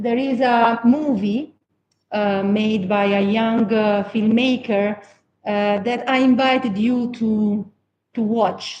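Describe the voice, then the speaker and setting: Her pitch is fairly high and her voice somewhat breathy. The woman speaks at a very slow pace with fairly even intonation. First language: Italian. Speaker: anthropology professor and psychotherapist. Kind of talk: academic seminar talk, partly read. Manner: halting, many fillers.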